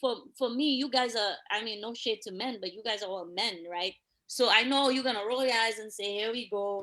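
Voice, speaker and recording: A woman with a Dominican accent and a fairly high pitch speaks at a fairly quick pace in a bright, sharp, animated tone, with ordinary pitch variation and big swings in loudness. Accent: Dominican accent, noticeable. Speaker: police officer. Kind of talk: casual chat. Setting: live stream.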